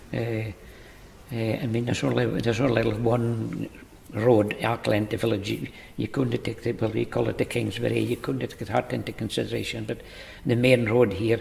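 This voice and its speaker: Moderately paced male speech against noticeable background noise. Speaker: village resident. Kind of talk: interview answer.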